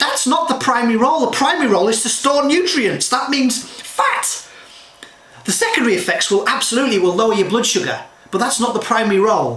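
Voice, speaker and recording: In an animated tone, a man talks very fast at an extremely high pitch with ordinary pitch variation and very even loudness, over audible room echo and noticeable background noise. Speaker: health and nutrition advisor. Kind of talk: direct-to-camera talk.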